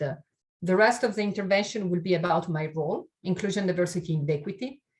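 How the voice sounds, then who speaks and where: Speaking very fast with an Italian accent, a woman uses a medium pitch with ordinary variation and a somewhat breathy quality. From Italy. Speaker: keynote speaker on inclusion and diversity. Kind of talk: webinar keynote talk.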